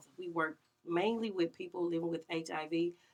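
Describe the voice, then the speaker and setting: A woman with a fairly low pitch at a fairly quick pace. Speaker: community health advocate. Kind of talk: radio interview. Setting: radio studio.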